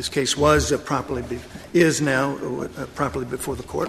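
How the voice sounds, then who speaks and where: Noticeable background noise under a man's fairly high-pitched speech at a moderate pace. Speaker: attorney arguing before the court. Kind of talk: courtroom oral argument, formal legal advocacy. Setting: courtroom, Supreme Court hearing. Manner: formal, measured, deferential, with frequent hesitations and restarts under questioning.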